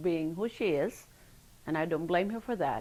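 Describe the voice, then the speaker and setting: In a Filipino accent, a woman speaks at a moderate pace with ordinary pitch variation. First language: Filipino language. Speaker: oral history interviewee. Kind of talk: interview testimony.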